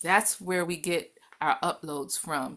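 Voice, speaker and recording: Recorded very cleanly over a silent background, a woman speaks at a moderate pace in a fairly low pitch with ordinary pitch variation. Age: 60s. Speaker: wellness panel guest. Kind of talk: panel discussion. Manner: animated.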